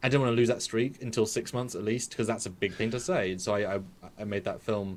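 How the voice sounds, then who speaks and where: A man talks very fast at a medium pitch, his pitch varying in an ordinary way. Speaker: fan film maker and visual effects artist. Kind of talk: casual chat.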